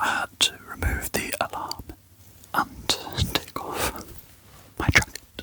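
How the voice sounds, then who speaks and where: The speaker whispers in a calm tone at a very slow pace, with long, frequent pauses. Noticeable background noise sits underneath. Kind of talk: ASMR whispered sorting narration. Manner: soft-spoken, whispering, calm.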